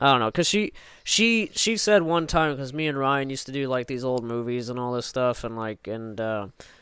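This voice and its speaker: With lively intonation, a man speaks at medium pitch and a moderate pace in a bright, sharp tone. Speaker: podcast host. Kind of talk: casual chat.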